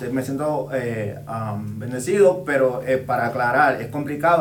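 With noticeable background noise and audible room echo, a man talks using ordinary pitch variation. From Puerto Rico (born Dominican Republic). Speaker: urban music artist and DJ. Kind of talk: casual interview.

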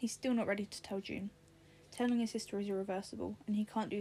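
It is an unforced reading voice with fairly even intonation.

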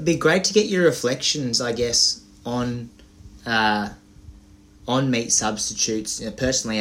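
A man's plain, everyday voice moves at a moderate pace, its pitch varying in an ordinary way. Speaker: podcast host. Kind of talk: casual interview.

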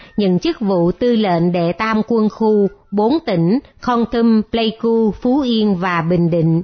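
This woman's fairly high voice shows ordinary pitch variation as she talks at a very slow pace. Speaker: radio narrator. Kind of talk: scripted narration.

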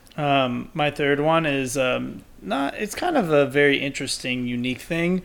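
With ordinary pitch variation, a plain, everyday voice carries an American accent at a moderate pace. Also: man, fairly high pitch for a man. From Texas. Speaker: podcast co-host. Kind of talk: casual chat.

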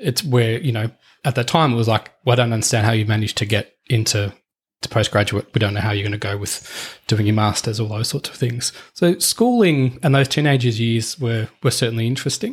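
A man with an Australian accent talks at a fairly quick pace, his pitch medium with ordinary variation. His voice is somewhat breathy. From Australia, eastern suburbs of Melbourne. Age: 40s. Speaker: former police officer turned corporate leader. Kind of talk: casual interview chat. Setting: in person at host's house. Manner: halting, many repetitions.

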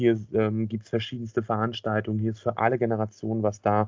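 A man's medium-pitched voice, flat and monotone, at a fairly quick pace. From Schwerin, northern Germany. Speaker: podcast co-host. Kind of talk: casual chat.

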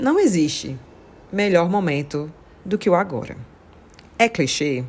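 A woman's voice with very wide pitch swings. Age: 40s. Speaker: podcaster. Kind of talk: solo podcast monologue. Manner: casual, conversational.

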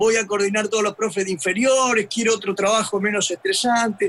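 Noticeable background noise is present throughout. Speech moves at a moderate pace. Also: man. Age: 70s. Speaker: retired football fitness coach. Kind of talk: casual chat. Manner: halting.

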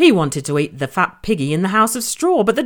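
The clip is plain reading aloud.

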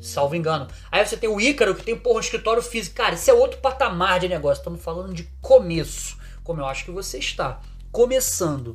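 A man talks at a very fast pace, his loudness swinging widely, over noticeable background noise. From Brazil, Rio de Janeiro. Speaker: online marketing creator. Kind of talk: casual video monologue; reading from a script. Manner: animated.

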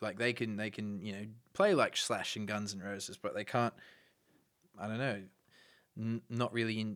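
Speaking with an Australian accent at a fairly low pitch, a man keeps a moderate pace and fairly even intonation in a very clean recording with a silent background. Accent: Australian with a noted twang. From Brisbane, Australia. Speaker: musician. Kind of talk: interview. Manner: halting.

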